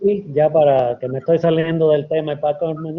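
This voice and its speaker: A man with a fairly high pitch speaks at a moderate pace in a flat monotone. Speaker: epidemiologist and medical historian. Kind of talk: academic lecture Q&A.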